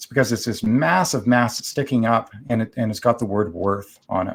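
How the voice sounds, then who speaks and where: A man at medium pitch and a moderate pace, ordinary pitch variation, on a very clean recording with a silent background. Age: 40s. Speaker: ultramarathon runner and author. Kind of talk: podcast interview. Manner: animated.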